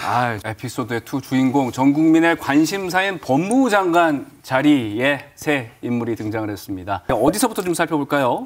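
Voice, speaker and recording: A fairly high male voice with lively intonation, a moderate pace and hardly any pauses. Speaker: TV news show host. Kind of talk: TV studio presenting. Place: studio.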